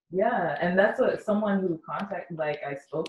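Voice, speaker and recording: A woman with a normal speaking voice at a moderate pace, with lively intonation. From London, Ontario, Canada. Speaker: community organizer and radio host. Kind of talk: interview.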